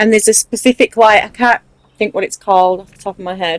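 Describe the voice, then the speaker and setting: In a strong Mancunian accent, a woman speaks at a fairly quick pace and fairly high pitch, her intonation fairly even and the sound dry and close with no echo. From Manchester, northern England. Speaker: gaming video creator. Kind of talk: casual tutorial chat.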